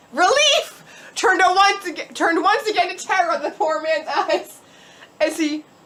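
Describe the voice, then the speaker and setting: With a raised, projected voice, a woman speaks at a moderate pace, her extremely high pitch carrying lively intonation. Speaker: storyteller. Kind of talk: drunk storytelling. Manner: halting, self-correcting.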